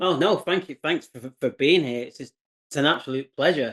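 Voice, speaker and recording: Against a quiet background, a man with an English accent speaks at a moderate pace in a fairly high pitch with ordinary pitch variation. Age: 60s. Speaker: entrepreneur, former chef. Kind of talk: interview. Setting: video call.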